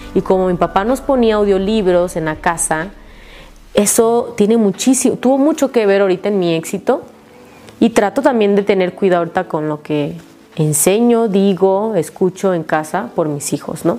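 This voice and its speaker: Through noticeable background noise, a woman talks at a moderate pace and a medium pitch. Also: lively intonation. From Mexico, Tabasco. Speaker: network marketing leader. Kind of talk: testimony.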